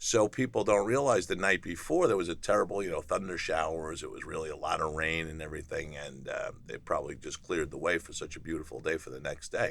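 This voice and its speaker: With an American accent, a man races along at a very fast pace with hardly any pauses and big swings in loudness, against noticeable background noise. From New Jersey, Hoboken. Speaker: retired Wall Street trader. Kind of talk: interview testimony. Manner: casual, many fillers.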